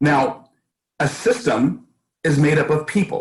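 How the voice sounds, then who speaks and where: A man with an American accent speaks in a fairly high pitch. His voice is somewhat breathy, with ordinary pitch variation. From US West Coast, East Oakland, California. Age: 60s. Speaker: school board candidate. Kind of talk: interview.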